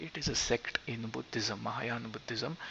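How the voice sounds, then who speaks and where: A man with a Marathi accent speaks at medium pitch and a moderate pace. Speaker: gaming YouTuber. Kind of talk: tutorial. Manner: halting.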